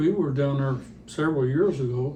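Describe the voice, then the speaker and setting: A man with an American accent speaks at a fairly high pitch. There is audible room echo. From Northern California. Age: 80s+. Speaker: elderly man telling his life story. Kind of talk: oral history interview. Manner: halting.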